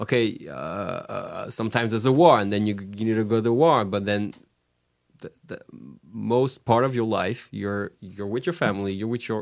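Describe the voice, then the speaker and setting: In a French accent, a man of medium pitch talks at a moderate pace with ordinary pitch variation. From France, Paris suburbs (Orly). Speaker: rabbi. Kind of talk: casual chat. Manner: halting, with frequent fillers and repetitions.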